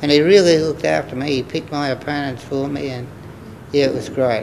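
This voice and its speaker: A man's medium-pitched voice at a fairly quick pace, fairly even in intonation, with noticeable background noise. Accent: Australian. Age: 80s+. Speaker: former boxer. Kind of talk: interview answer.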